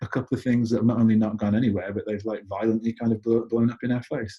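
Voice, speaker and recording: Speaking at a very fast pace, a man with an English accent sounds somewhat breathy, his tone dark and mellow. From United Kingdom. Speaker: entrepreneur. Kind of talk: interview conversation. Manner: casual, with many fillers and repeats.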